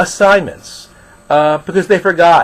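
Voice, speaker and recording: A man talks in a high voice at a fairly slow pace. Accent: New York. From New York. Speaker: college instructor. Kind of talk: recorded lecture.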